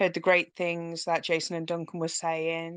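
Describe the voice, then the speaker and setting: Against a quiet background, a woman with a British accent speaks at a fairly low pitch in a monotone, flat intonation. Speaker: crypto community team member. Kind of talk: casual self-introduction on live audio chat.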